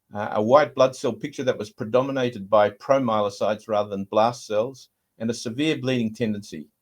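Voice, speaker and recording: With an Australian accent, a man speaks at a medium pitch. He moves at a fairly quick pace, and his intonation is fairly even. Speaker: hematologist. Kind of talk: lecture. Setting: video call. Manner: hesitant, frequent uh fillers.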